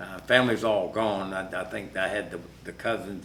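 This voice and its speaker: A man with an American accent and a fairly low pitch talks at a fairly quick pace, with audible room echo and noticeable background noise. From US South (south Georgia). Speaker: interviewee, Air Force veteran. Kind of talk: oral history interview.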